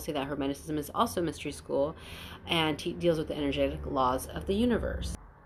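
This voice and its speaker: On a very clean recording with a silent background, a woman speaks with a very deep, low pitch and vocal fry. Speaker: spiritual channeler. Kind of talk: spiritual monologue. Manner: fast.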